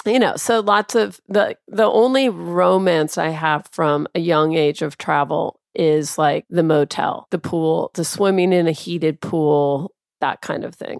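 Delivered in a plain, everyday voice, the speech moves at a fairly slow pace with lively intonation and hardly any pauses, in a dry, close sound with no echo. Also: woman, fairly low pitch for a woman. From US Pacific Northwest, Tacoma. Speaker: travel editor and publisher. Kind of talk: casual chat.

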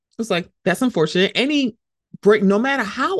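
Against a quiet background, a woman talks at a fairly quick pace with vocal fry. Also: dry, close sound with no echo. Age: 40s. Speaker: podcast host. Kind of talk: solo podcast commentary. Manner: casual, conversational.

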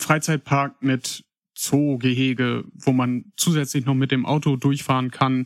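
Recorded very cleanly against a silent background, with a dry, close sound and no echo, a man speaks very slowly at a medium pitch in a flat monotone. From Paderborn, Germany. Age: 20s. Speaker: listener contributor. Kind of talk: casual storytelling.

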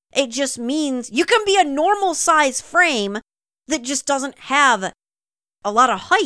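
In a raised, projected voice, a woman with a high pitch and a bright, sharp tone speaks at a very slow pace with very wide pitch swings, in a dry, close sound with no echo on a very clean recording with a silent background. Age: 40s. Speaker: podcast co-host. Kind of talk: casual chat.

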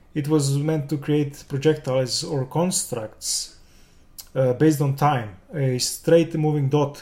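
Very slow, somewhat breathy speech from a man with a Serbian accent, fairly high-pitched, dark and mellow in tone, with fairly even intonation. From Serbia, Belgrade. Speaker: game developer and concept artist. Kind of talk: interview.

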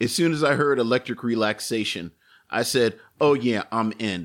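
A man with an American accent speaks in a normal speaking voice. His pace is moderate and his pitch variation is ordinary. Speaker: podcast co-host. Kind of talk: casual chat. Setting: live stream.

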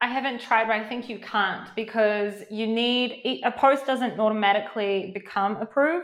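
Speaking at a moderate pace with hardly any pauses, a woman with a New Zealand accent shows ordinary pitch variation. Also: fairly high pitch for a woman. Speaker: Amazon seller and coach. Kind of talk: podcast interview.

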